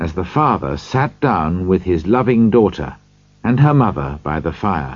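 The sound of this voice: An unforced reading voice is heard throughout.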